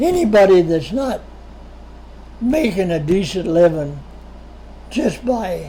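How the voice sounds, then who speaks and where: A man speaks at a very slow pace with high pitch and lively intonation. The recording has audible room echo and noticeable background noise. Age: 80s+. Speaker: retired machinist and entrepreneur being interviewed by his son. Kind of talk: interview, personal life story. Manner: conversational with frequent repetitions and fillers.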